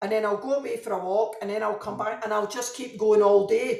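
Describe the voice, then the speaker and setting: The speaker has a Glaswegian accent. Audible room echo is present. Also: woman. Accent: Glaswegian Scottish. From Scotland, Glasgow. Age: 50s. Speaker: novelist. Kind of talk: interview.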